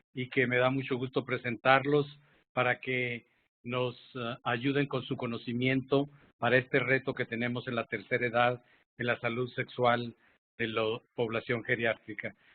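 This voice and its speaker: The delivery comes at a fairly slow pace. Its intonation is monotone and flat. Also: man, medium pitch for a man. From Mexico, Zacatecas. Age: 60s. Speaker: public health physician and moderator. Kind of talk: panel moderation.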